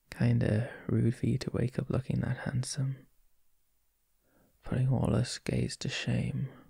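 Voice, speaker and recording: Against a quiet background, the speaker is soft-spoken and talks at a fairly slow pace. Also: dry sound with no echo. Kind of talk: intimate roleplay chat. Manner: soft, close, drowsy morning murmur.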